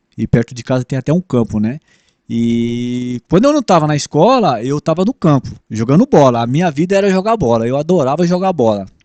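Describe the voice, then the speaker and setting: A man talks at a fairly quick pace with a fairly high pitch and lively intonation. His tone is dark and mellow, and the sound is dry and close with no echo. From São Paulo city, Brazil. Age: 60s. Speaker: former bus driver. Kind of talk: interview. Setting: podcast. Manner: halting.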